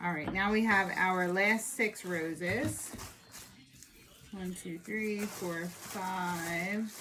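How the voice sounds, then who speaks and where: A woman's medium-pitched, very slow speech with fairly even intonation and audible room echo. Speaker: florist or floral design hobbyist. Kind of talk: tutorial. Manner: casual, chatty.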